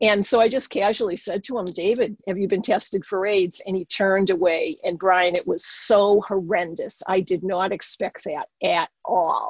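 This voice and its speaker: A woman at medium pitch speaks with a Boston accent. Her moderate pace has hardly any pauses and ordinary pitch variation. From Boston area. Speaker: occupational therapist and spiritual teacher. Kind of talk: interview testimony.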